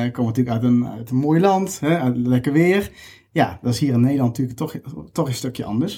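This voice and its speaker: Somewhat breathy, a man talks at a fairly quick pace and medium pitch. His tone is dark and mellow, with ordinary pitch variation. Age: 30s. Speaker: recruiter. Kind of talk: interview.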